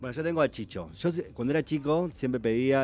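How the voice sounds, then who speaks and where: Dark and mellow in tone, this man's voice comes through. He keeps up a fairly quick pace. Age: 40s. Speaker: writer. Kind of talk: casual radio chat.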